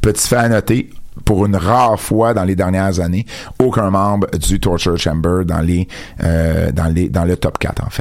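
In a Quebec accent, a man with a very deep, low voice speaks fairly slowly with ordinary pitch variation and very even loudness. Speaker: wrestling radio show host. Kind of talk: casual radio chat. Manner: repetitive, stammering restarts.

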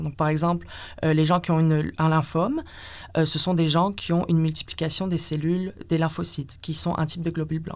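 This woman has a normal speaking voice with a fairly low pitch. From northern France. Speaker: PhD researcher in experimental medicine. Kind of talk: interview.

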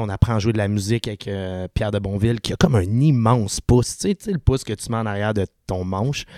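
A man's fairly low voice, a normal speaking voice, with fairly even intonation at a moderate pace, in a very clean recording with a silent background and a dry, close sound with no echo. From Quebec, Sainte-Julie. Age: 30s. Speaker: punk rock singer. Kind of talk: casual chat.

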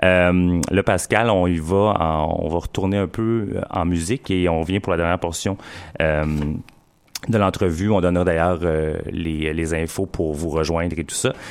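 With ordinary pitch variation, the delivery proceeds fairly slowly. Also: man. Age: 40s. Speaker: community radio host. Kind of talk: casual radio show with interview. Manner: halting, many fillers and repeats.

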